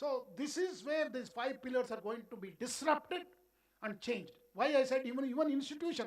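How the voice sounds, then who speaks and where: In a Karnataka accent, a man with an extremely high pitch speaks at a moderate pace with lively intonation. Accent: Indian English (Kannada). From India, Karnataka (Bengaluru). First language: Kannada. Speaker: education official. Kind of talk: keynote speech.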